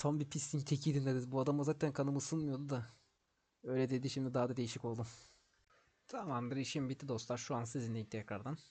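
Against a quiet background, a man talks at a very fast pace with fairly even intonation. His medium-pitched voice has a dark, mellow tone and is somewhat breathy. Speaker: gaming YouTuber. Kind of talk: gameplay tutorial. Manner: casual, rambling.

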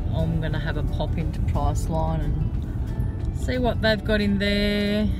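A woman is speaking. Clear music plays behind her. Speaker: vlogger. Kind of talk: casual vlog chat. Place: car. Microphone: phone near.

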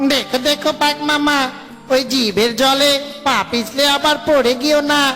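A cartoonish character voice speaks at a high pitch and a moderate pace. Clear background noise can be heard. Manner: whiny, excitable.

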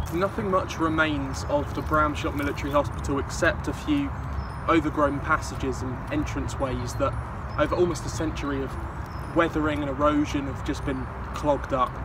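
A man talks at a fairly quick pace in a dry sound with no echo, with noticeable background noise behind him. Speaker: local history vlogger. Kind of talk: casual vlog commentary. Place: open country. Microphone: phone near.

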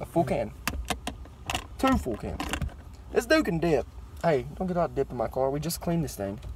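A man talks at a moderate pace, leaving long, frequent pauses. The sound is dry with no echo, and there is noticeable background noise. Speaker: car vlogger. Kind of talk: casual chat. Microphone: phone near.

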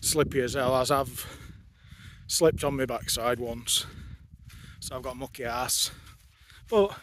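A man is speaking. The sound is dry with no echo, and background noise is noticeable. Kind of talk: casual vlog chat. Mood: cheerful, joking. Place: open country. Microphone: phone near.

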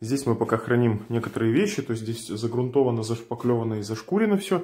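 Very fast male speech with ordinary pitch variation. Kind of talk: casual vlog tour. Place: empty room. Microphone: phone near.

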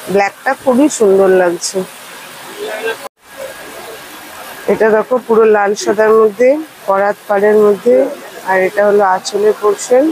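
Light background noise is present. The sound is dry with no echo. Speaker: shopping vlogger. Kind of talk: casual vlog chat showing products. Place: market. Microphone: phone near.

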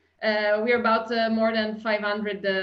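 A woman speaks with an Italian accent. The background is quiet. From Italy. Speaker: customer experience consultant. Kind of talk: webinar presentation. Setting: video call. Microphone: webcam.

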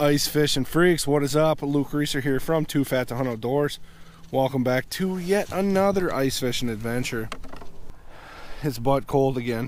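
A man at a moderate pace with ordinary pitch variation, dry sound with no echo, and light background noise. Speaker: outdoor fishing vlogger. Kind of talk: casual vlog chat. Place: open country. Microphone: phone near.

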